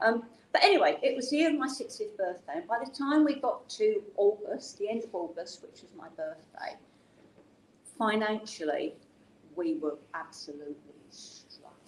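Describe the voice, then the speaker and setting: A woman with an English accent at a fairly high pitch and a moderate pace, with vocal fry, very wide pitch swings, and big swings in loudness. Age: 70s. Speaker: business founder and CEO. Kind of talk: personal story in an interview. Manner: conversational, with many fillers.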